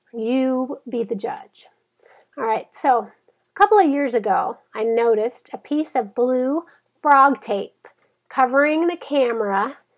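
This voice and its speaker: At a fairly slow pace, a woman with a high pitch speaks using lively intonation. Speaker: blogger and author. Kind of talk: casual vlog. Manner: chatty, casual.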